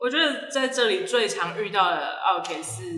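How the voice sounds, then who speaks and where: A very slow woman's voice with audible room echo. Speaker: brunch restaurant owner. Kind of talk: casual interview. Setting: recorded inside her large restaurant. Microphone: echoey, sounds distant.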